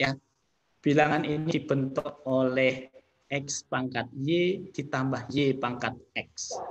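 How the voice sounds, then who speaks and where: The man's voice sits fairly high. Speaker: professor and university director. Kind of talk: online presentation. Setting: video call. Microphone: video call.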